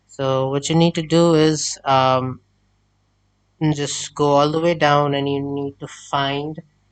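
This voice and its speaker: In a non-native accent, a man talks at a very slow pace with a fairly high pitch and monotone, flat intonation. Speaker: tech tutorial creator. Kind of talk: screen-recorded tech tutorial. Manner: hesitant, many filler sounds.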